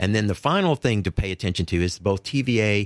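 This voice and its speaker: With an East Tennessee accent, a man with a fairly low pitch talks at a moderate pace with lively intonation. The recording is very clean, with a silent background and a dry, close sound with no echo. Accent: Southern US (East Tennessee). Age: 60s. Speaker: clean energy advocate. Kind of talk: interview.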